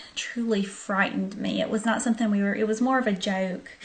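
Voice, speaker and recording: A woman speaks at a fairly high pitch, somewhat breathy, with fairly even intonation. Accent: Southern US. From US South, southern Arkansas. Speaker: vlogger. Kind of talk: storytelling. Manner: casual, hesitant with many ums.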